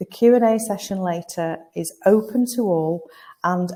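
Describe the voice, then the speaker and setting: With a northern English accent, a woman speaks in a somewhat breathy, dark, mellow voice, fairly low in pitch, with ordinary pitch variation. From northern England, Lancashire. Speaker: recruitment consultancy founder, webinar host. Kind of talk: webinar hosting. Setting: live webinar from an agency office.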